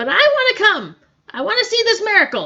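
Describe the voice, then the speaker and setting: Putting on a character voice, a woman speaks fairly quickly in a squeaky, extremely high pitch with very wide pitch swings. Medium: read story. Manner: sarcastic, brusque.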